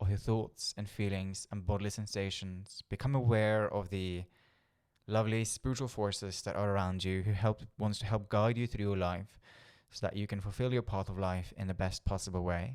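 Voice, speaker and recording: A fairly low-pitched man with a Norwegian accent, moderate pace and monotone, flat intonation, on a very clean recording with a silent background. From Norway. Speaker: spiritual coach and healer. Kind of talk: talking-head video monologue. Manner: occasional stumbles and fillers.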